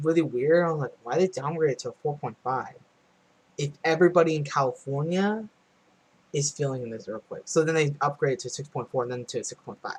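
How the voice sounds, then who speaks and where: A quiet man with a fairly high pitch, a fairly quick pace and big swings in loudness. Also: ordinary pitch variation. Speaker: earthquake-watching livestreamer. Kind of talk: casual live stream commentary. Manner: loud and quiet at the same time.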